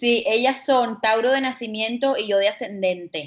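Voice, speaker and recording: A woman with a Colombian Caribbean accent speaks at a fairly slow pace with fairly even intonation. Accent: Colombian Caribbean coast. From Colombia, Caribbean coast. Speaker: holistic psychologist and astrologer. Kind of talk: casual interview chat.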